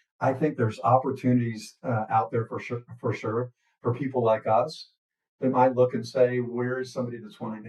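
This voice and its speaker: The speech moves at a fairly quick pace. The voice is somewhat breathy. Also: man. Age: 60s. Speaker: business podcast co-host. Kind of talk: casual chat. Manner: halting, many fillers and restarts.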